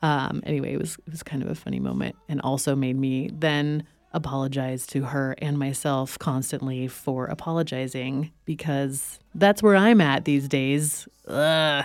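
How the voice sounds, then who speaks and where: A woman's very deep, low pitch with ordinary pitch variation, a moderate pace and hardly any pauses, over music in the background. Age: 40s. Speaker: podcast host. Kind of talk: scripted narration.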